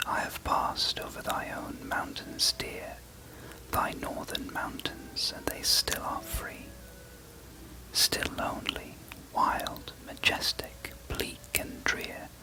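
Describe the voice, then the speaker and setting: Someone whispers at a very slow pace in a British accent. Noticeable background noise runs underneath. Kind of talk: poetry reading. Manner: whispered, soft, relaxing ASMR delivery.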